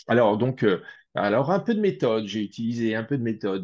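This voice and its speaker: The background is quiet. A man speaks at a fairly slow pace with lively intonation. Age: 60s. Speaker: spiritual researcher. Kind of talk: interview. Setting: video call. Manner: hesitant, many fillers.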